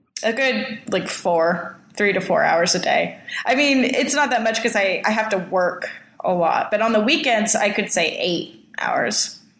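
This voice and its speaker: A woman with an American accent speaks at a moderate pace in a fairly high pitch with lively intonation. Noticeable background noise and audible room echo fill the recording. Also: very even loudness. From Southern California. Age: 20s. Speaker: homesteading hopeful in a couple's dispute. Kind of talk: casual chat.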